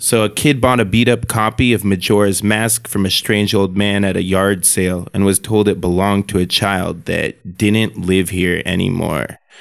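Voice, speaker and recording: A man uses a normal speaking voice at fairly low pitch, with fairly even intonation and very even loudness. He keeps a moderate pace with hardly any pauses. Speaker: podcast host. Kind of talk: retelling a creepy haunted-cartridge story in a flat, storytelling way. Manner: casual, conversational.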